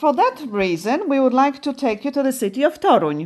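In a Polish accent, a woman speaks at a high pitch. Her pitch swings very widely. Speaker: radio host. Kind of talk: casual radio chat. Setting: studio.

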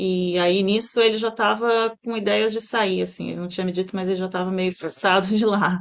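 The speech moves at a fairly quick pace with hardly any pauses and monotone, flat intonation. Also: woman, medium pitch for a woman. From Brazil, Santos (São Paulo state). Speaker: pet groomer and salon owner. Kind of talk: interview.

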